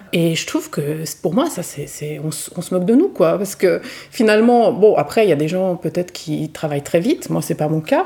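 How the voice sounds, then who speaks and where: Pitch swings very widely at a moderate pace, with noticeable background noise behind the voice. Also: woman. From Switzerland. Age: 40s. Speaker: novelist and art teacher. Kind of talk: casual interview. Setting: over coffee. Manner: hesitant, many fillers.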